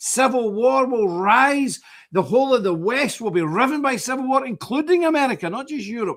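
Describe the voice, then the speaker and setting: An extremely high-pitched man with a Glasgow accent, lively intonation and a moderate pace. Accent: Scottish (Glasgow). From Scotland. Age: 60s. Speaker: religious group leader, streamer. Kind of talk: live stream monologue. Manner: animated.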